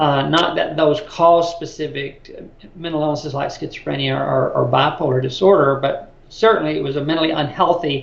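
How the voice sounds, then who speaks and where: A man with an American accent talks at a moderate pace in a fairly high pitch and with fairly even intonation. Audible room echo and noticeable background noise fill the recording. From US South, Birmingham, Alabama. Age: 60s. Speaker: mental health advocate. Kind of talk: interview.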